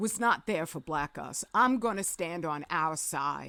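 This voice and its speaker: With lively intonation, the speech moves at a fairly slow pace in a very clean recording with a silent background. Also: woman. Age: 60s. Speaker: political commentator. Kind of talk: video monologue. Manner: animated; halting.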